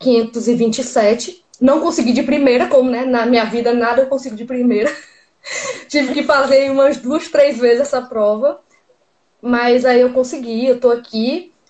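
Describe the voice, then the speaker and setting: High pitch from a woman, moderate pace and ordinary pitch variation. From Northeast Brazil, Teresina, Piauí. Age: 30s. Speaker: graduate student abroad. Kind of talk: interview.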